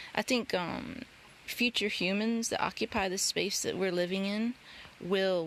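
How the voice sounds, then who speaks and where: This is a woman speaking with a Northwest Georgia accent. Her pitch variation is ordinary. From Northwest Georgia, US South. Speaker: nature journaling vlogger. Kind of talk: casual tutorial.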